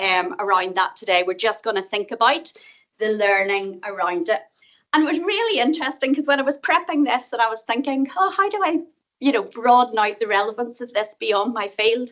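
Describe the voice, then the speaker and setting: A woman with a Northern Irish accent talks at a fairly quick pace in a fairly high pitch, her voice swinging very widely up and down. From Northern Ireland. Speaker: professor. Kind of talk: conference talk. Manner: fast.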